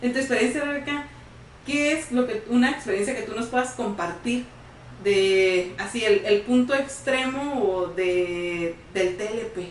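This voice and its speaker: Heard through audible room echo and noticeable background noise, a woman talks fairly slowly at a fairly high pitch with ordinary pitch variation. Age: 30s. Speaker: psychologist co-host. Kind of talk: casual interview chat. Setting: studio.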